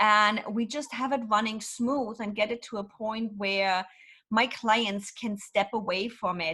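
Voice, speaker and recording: Speaking fairly slowly with a German accent, a woman uses a medium pitch and ordinary pitch variation. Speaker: business consultant. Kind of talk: interview. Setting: podcast. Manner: blunt.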